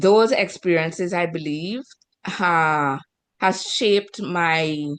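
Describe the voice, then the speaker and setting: Speaking very slowly in a Caribbean accent, a woman uses a fairly low pitch with ordinary pitch variation. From Trinidad and Tobago. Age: 50s. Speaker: author and evangelist. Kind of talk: interview.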